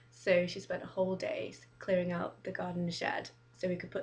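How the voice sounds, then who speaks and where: A woman with an English accent talks at a moderate tempo. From Manchester, England. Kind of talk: casual talk to camera.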